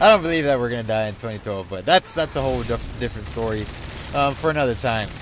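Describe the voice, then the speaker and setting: A man with an American accent talks at a very fast pace, his medium-pitched voice carrying lively intonation over noticeable background noise. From Mexican American, US. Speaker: gaming YouTuber. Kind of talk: casual vlog. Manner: loud, screaming; animated.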